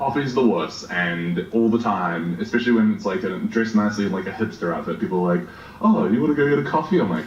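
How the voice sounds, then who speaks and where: Over noticeable background noise and audible room echo, a man speaks very fast. His medium-pitched voice swings very widely in pitch. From Australia. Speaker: game streamer. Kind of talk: podcast interview. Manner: hesitant, many fillers.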